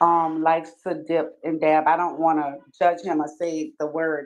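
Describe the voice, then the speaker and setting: The pace is fairly slow. The speaker has a Louisiana accent. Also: woman. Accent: Louisiana Southern US. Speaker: caller on livestream. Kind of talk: questioning in live discussion. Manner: formal, polite.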